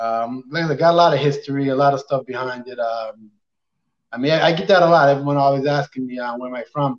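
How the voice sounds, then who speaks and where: A man with a plain, everyday voice talks at a fairly quick pace, his medium pitch held in fairly even intonation. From Nova Scotia, Canada (North Preston, near Dartmouth). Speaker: professional boxer. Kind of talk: casual interview.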